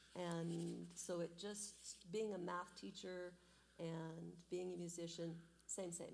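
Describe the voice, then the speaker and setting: A woman with an American accent speaks very slowly in a fairly low pitch, her intonation monotone and flat. Audible echo from the room is present. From southeast Idaho, US. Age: 60s. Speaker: church member, math teacher and pianist. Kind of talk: testimony interview. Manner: loud.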